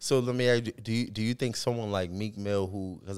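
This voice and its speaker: Using a normal speaking voice, a man with an American accent talks at a fairly quick pace, with a fairly low pitch and fairly even intonation. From Boston. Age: 30s. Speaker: podcast co-host. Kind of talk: casual chat.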